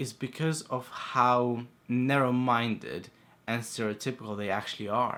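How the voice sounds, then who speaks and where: A quiet man's voice at medium pitch comes through on a very clean recording with a silent background. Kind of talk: casual talk to camera.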